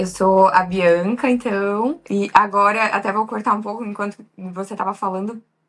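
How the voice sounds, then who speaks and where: Using a plain, everyday voice, a woman speaks at a medium pitch with fairly even intonation and hardly any pauses. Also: moderate pace. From Santa Catarina, southern Brazil. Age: 30s. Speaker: makeup artist, visa applicant. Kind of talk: interview.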